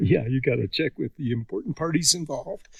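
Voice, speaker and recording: A man is whispering. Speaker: hunter. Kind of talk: casual chat. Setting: outdoors.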